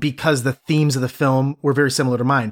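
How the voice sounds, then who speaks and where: This man with an American accent has a plain, everyday voice, fairly high in pitch with ordinary variation, recorded very cleanly against a silent background with a dry, close sound and no echo. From US Midwest, Cleveland. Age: 30s. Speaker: podcast host. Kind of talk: casual chat.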